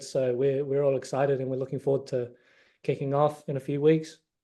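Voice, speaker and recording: A man with a New Zealand accent speaks at a moderate pace in a fairly high pitch, his tone dark and mellow against a quiet background. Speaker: college basketball player. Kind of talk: interview.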